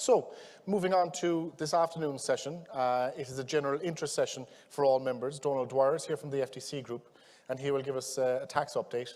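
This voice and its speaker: A man with a West Cork accent, fairly high pitch, fairly even intonation and a fairly quick pace. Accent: West Cork Irish. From Ireland, West Cork. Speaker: conference chair. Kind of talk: conference introduction.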